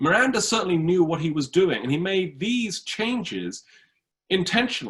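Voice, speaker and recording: With a British accent, a man talks at a moderate pace in a high voice with lively intonation. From Britain. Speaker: history professor. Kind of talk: lecture.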